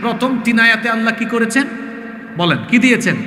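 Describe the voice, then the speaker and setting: A man with a high pitch uses a raised, projected voice against noticeable background noise. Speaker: Islamic preacher. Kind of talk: religious sermon. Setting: outdoor religious gathering. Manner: engaging the crowd with questions.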